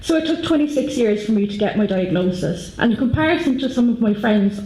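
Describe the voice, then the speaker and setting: Noticeable background noise sits behind a woman speaking with an Irish accent at a fairly quick pace with hardly any pauses. Her pitch is fairly high, her intonation lively and her loudness very even. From Ireland. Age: 30s. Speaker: patient advocate. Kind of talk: conference talk.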